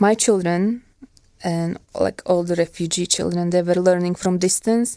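Speaking with a Ukrainian accent, a woman uses a fairly low pitch and a dark, mellow tone, her intonation fairly even and her pace fairly slow. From Ukraine. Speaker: war refugee. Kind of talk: testimony. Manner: halting.

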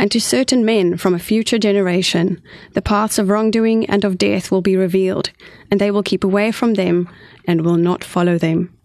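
Here a woman speaks with a South African accent. Her pitch is medium and her intonation fairly even. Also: moderate pace. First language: Afrikaans. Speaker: co-author. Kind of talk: radio interview. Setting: studio. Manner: articulate.

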